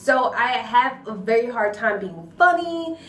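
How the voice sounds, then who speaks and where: With audible room echo, a woman speaks with lively intonation. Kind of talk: personal testimony vlog. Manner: quiet, not loud.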